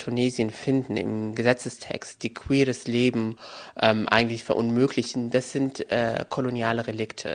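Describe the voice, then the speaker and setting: A man talks with fairly even intonation at a medium pitch and a moderate pace. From Germany, Moroccan family. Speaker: journalist and author. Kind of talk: interview. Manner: hesitant, many filler sounds.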